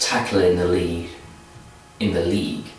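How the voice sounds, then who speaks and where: Audible room echo and noticeable background noise surround a man speaking with an English accent. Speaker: football vlogger. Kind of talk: casual vlog commentary. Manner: repetitive restarts.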